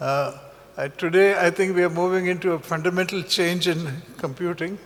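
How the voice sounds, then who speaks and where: Amid noticeable background noise, a man with a high pitch for a man speaks at a moderate pace in a monotone, flat intonation. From India, Kerala (Kannur). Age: 70s. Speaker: entrepreneur. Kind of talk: keynote talk. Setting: conference hall. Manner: hesitant, many fillers.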